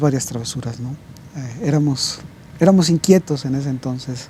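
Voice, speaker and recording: A man's pitch moves in an ordinary way while noticeable background noise plays. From Mexico, Puebla. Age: 50s. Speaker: pastor. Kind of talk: interview. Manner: halting, many fillers and repetitions.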